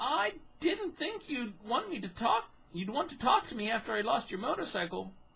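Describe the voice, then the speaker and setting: This put-on character voice has a fairly high pitch and moves at a moderate pace. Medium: read story.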